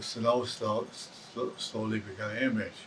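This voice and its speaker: A man talks at a fairly slow pace in a medium pitch. His intonation is monotone and flat. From Taiwan. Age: 80s+. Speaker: retired electronics technician. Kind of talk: documentary interview. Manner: halting.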